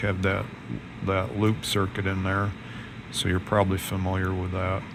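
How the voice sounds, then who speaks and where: A man's voice carries audible room echo amid noticeable background noise. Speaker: amateur radio operator. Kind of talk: tutorial. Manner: monotone; casual.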